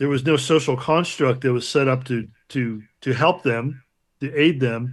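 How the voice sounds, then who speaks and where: A man's medium-pitched voice, an unremarkable speaking voice. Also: quiet background. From Chicago, US Midwest. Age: 60s. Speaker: multidisciplinary artist. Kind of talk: casual interview chat.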